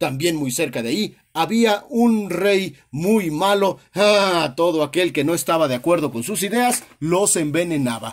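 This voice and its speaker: A high-pitched man delivers an animated, dramatic tone with lively intonation at a fairly slow pace, hardly pausing at all. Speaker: storyteller. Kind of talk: scripted storytelling narration of a children's fairy tale, read aloud. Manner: animated storyteller, expressive with exclamations and dramatic emphasis; warm, friendly, addressing the audience directly.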